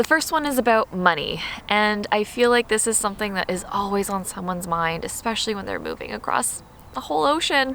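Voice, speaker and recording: A woman's voice over noticeable background noise. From Canada. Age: 20s. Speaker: lifestyle vlogger. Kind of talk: casual vlog. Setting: outdoors in a park. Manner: casual, filler-heavy.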